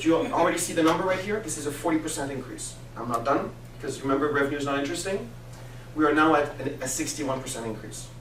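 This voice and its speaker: Both room reverberation and clear background noise can be heard. Over them, a man talks extremely fast. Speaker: business coach. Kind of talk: business presentation. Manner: animated.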